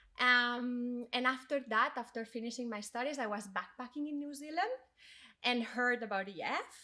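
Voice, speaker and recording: In a Spanish accent, a woman speaks at a moderate pace with a high pitch, ordinary pitch variation and a bright, sharp tone. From Spain. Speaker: corporate education manager, DEI leader. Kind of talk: podcast interview, personal story. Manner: hesitant, with fillers.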